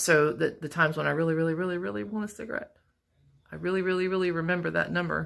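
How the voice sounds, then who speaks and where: A woman speaks very fast in a fairly low voice, her intonation lively. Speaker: vlogger. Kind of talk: personal video diary. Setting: work break room.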